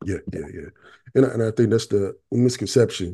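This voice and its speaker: In a dark, mellow tone, a man speaks at a moderate pace. His intonation is fairly even, and the background is quiet. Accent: eastern North Carolina. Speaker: podcast host. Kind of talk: casual podcast interview.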